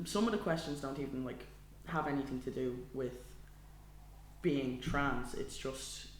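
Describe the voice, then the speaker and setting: With a Dublin accent and vocal fry, a man talks at medium pitch with long, frequent pauses and audible room echo. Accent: Dublin Irish. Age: 20s. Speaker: podcast co-host. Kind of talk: casual chat.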